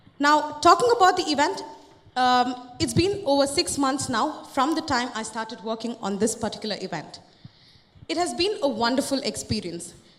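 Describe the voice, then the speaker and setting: A woman speaks at a moderate pace with a high pitch and very wide pitch swings. Audible room echo and noticeable background noise surround her. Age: 20s. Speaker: company employee presenting. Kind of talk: conference presentation. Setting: stage with audience.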